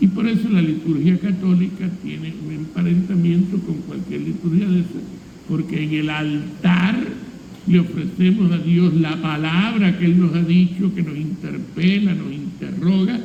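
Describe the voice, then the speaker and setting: Amid noticeable background noise and audible room echo, a man with a high pitch speaks at a fairly slow pace with fairly even intonation. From Cuba. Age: 70s. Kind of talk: homily. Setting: church. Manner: conversational.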